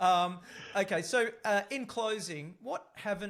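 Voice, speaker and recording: An Australian-accented man speaks fairly slowly with lively intonation. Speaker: podcast host. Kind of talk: interview. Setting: podcast.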